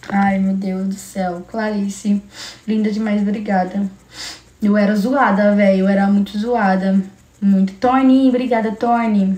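Speech moves at a fairly slow pace. The intonation stays monotone and flat. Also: woman, medium pitch for a woman. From Brazil, São Paulo coast (Guarujá). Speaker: livestreamer. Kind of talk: casual livestream chat with viewers. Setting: live stream.

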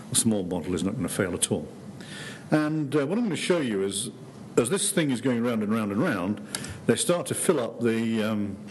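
Light background noise underlies a man with an ordinary speaking voice and a fairly low pitch. He talks at a fairly quick pace with lively intonation. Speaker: professor giving public lecture. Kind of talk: lecture. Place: hall.

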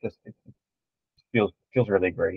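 A man talks against a quiet background, the sound dry with no echo. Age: 50s. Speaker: fitness competitor; podcast guest. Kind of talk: casual video podcast interview. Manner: halting, many fillers. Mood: warm, reflective. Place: home room.

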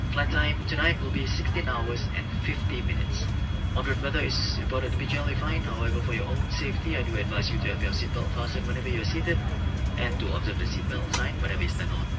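A man speaks at a very fast pace over loud background noise. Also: ordinary pitch variation. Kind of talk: PA announcement. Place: plane.

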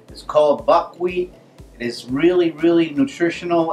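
Faint music plays in the background as a man speaks. He talks at a fairly quick pace with fairly even intonation. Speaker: cooking channel host. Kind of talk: cooking show intro. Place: kitchen.

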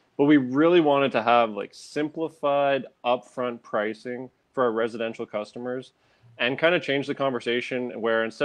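A plain, everyday voice from a man, medium in pitch, with fairly even intonation. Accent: Canadian. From Ontario, Canada (Sudbury). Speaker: former landscaping and snow removal business owner. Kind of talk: interview.

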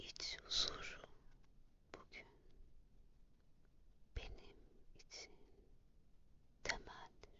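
Whispering in a calm tone at a very slow pace, with long, frequent pauses. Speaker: ASMR affirmation reader. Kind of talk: morning affirmations read. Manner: whispered; calm, slow.

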